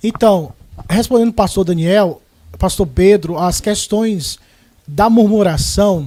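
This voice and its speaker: This man has a high pitch and a dark, mellow tone. He talks at a fairly slow pace. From Ceará, Brazil. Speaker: pastor. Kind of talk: religious panel discussion. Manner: formal.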